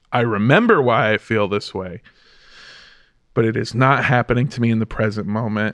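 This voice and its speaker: A man of medium pitch speaks at a moderate pace with long, frequent pauses, the sound dry and close with no echo and the background quiet. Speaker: comedian. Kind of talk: casual chat. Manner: animated.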